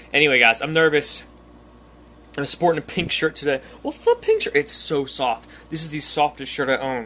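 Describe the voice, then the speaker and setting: A man's fairly high voice comes across with a bright, sharp tone. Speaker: vlogger. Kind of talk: casual vlog to camera. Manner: fast.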